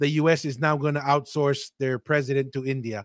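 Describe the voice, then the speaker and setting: A man with an American accent and an unremarkable speaking voice talks fairly quickly in a fairly high pitch, the sound dry and close with no echo. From Tonga. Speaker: podcast host. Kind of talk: casual chat. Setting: live stream.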